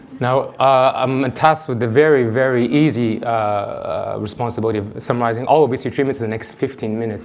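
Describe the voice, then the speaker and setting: Over noticeable background noise and audible room echo, a man speaks very fast at a medium pitch with fairly even intonation. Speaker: endocrinologist. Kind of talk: conference talk. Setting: stage with audience.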